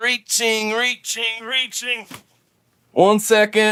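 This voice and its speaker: Putting on a character voice, a man speaks very slowly in a high, monotone, flat delivery. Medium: voice reel.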